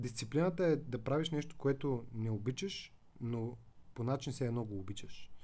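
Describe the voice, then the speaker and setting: A man's somewhat breathy, dark, mellow voice at medium pitch, with ordinary pitch variation and a moderate pace. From Bulgaria, Veliko Tarnovo. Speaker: digital marketing agency director and lecturer. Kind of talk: podcast interview.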